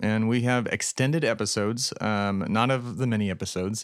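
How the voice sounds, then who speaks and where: A man talks at a medium pitch. The recording is very clean, its background silent. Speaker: podcast host. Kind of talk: casual solo monologue with an angry, sweary political rant. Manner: irritated, sarcastic and profane, fired up against fascists; rambling, with many filler words.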